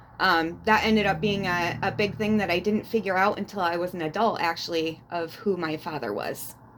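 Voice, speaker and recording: A woman's plain, everyday voice, fairly low in pitch, with ordinary pitch variation and a fairly quick pace. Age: 40s. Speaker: abuse survivor sharing her story. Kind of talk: interview testimony.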